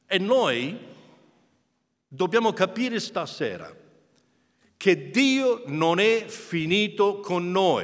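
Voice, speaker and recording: A high-pitched man with an English accent speaks at a very slow pace, using lively intonation and long, frequent pauses. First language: English (speaking Italian). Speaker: preacher. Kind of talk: sermon. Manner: halting.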